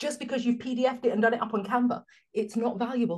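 This woman has a fairly high pitch and speaks with a London accent. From London, England. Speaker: business coach. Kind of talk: casual interview chat.

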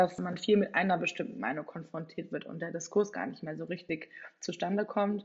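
Speaking at a fairly quick pace, a woman uses a medium pitch with vocal fry. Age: 20s. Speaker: political science student. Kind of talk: casual interview.

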